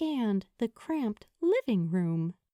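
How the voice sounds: Quiet background behind a natural reading voice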